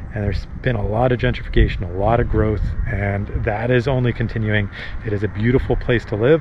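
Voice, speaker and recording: A man speaks with fairly even intonation over noticeable background noise. The sound is dry, with no echo. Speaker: local guide vlogger. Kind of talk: casual vlog chat. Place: street. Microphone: phone near.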